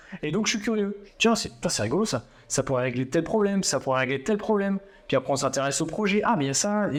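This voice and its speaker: Fairly quick male speech, full of lively intonation. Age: 30s. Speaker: crypto trainer and event organizer. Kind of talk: interview. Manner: casual, hesitant with many fillers.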